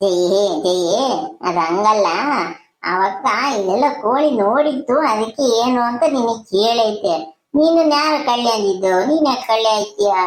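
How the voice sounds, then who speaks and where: A cartoonish character voice moves at a fairly slow pace with very even loudness. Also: woman, fairly high pitch for a woman, lively intonation. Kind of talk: village comedy cartoon. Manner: easygoing, joking.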